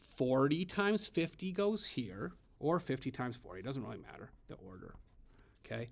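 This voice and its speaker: A man speaks at a moderate pace in a fairly high voice, his pitch swinging very widely. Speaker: elementary school teacher. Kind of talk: tutorial. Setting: classroom at school, after hours.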